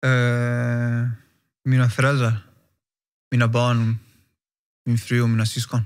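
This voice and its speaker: Very slow and broken by long, frequent pauses, a man's speech sits at a medium pitch in a monotone, flat intonation. His loudness stays very even against a quiet background. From Stockholm, Sweden. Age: 30s. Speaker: professional footballer; interview guest. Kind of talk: interview. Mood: calm, reflective. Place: studio. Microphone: studio mic.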